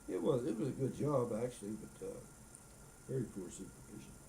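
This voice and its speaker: Speaking at a fairly quick pace with long, frequent pauses, a man with a medium pitch shows big swings in loudness amid audible room echo. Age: 80s+. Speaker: retired carpenter, grandfather. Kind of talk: casual chat.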